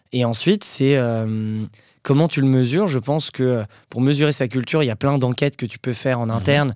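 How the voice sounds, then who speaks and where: At a fairly quick pace, a man speaks with medium pitch and ordinary pitch variation on a very clean recording with a silent background. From Paris region, Hauts-de-Seine. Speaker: entrepreneur. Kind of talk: casual interview. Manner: hesitant with fillers.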